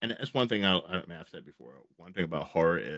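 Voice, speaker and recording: Recorded against a quiet background, a man's voice sounds dry with no echo. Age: 40s. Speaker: horror channel interviewer; podcast host interviewer. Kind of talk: casual interview. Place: home room. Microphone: studio mic.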